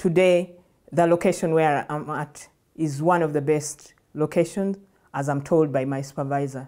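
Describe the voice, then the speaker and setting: A woman's very deep, low voice with an Ugandan accent, a dark, mellow tone, fairly even intonation and a moderate pace, over a quiet background. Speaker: nonprofit program director. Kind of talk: personal testimony at a workshop. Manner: halting, with fillers and restarts. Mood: reflective, earnest. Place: studio. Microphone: lapel.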